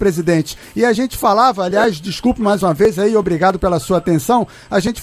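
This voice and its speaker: A man's high-pitched voice at a fairly quick pace, with ordinary pitch variation over noticeable background noise. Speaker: radio sports show host. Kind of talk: live radio interview questions.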